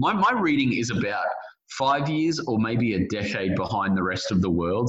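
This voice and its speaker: A man talks with an Australian accent in an animated, enthusiastic tone. Noticeable background noise runs behind him. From Australia, suburban Brisbane. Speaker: author and journalist. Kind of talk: interview. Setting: remote call.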